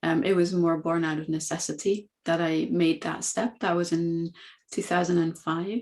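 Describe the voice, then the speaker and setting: A woman with a Dutch accent speaks at a moderate pace and a fairly low pitch in a very clean recording with a silent background. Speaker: coaching academy founder. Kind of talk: podcast interview.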